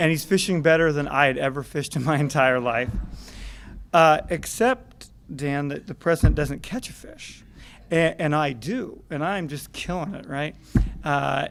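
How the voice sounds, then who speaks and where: A soft-spoken man with an American accent, fairly high in pitch, with ordinary pitch variation at a moderate pace. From Montana. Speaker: political staffer. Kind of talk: speech.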